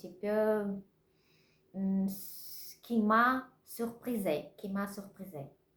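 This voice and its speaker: A woman's voice at a medium pitch. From Russia. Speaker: vlogger learning French. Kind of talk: casual vlog. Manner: halting, many hesitations; slow.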